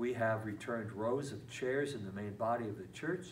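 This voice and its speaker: Moderate-paced speech from a man with ordinary pitch variation, audible room echo and light background noise. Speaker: parish priest. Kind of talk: parish announcements. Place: classroom. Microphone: camera far.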